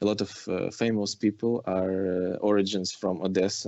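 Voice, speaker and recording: A man with a rather low pitch talks at a middling speed in a flat, monotone way. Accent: Ukrainian. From Ukraine. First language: Ukrainian. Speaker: film director. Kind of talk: interview. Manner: halting, many fillers and restarts.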